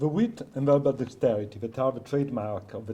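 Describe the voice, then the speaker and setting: At a moderate pace, a man with a non-native accent speaks at a medium pitch with ordinary pitch variation, his dark, mellow tone somewhat breathy. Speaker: PhD researcher. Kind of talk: academic conference paper. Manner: reading from script.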